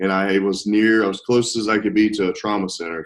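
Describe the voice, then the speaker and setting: Here a man speaks with a Southern US accent. His pitch is fairly low. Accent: Southern drawl. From US South. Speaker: nurse. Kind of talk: interview.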